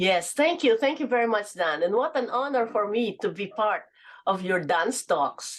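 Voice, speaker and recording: The speaker has a Filipino accent and talks at a moderate pace. The pitch swings very widely. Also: woman, fairly high pitch for a woman. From Philippines. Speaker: businesswoman and author. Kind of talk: interview.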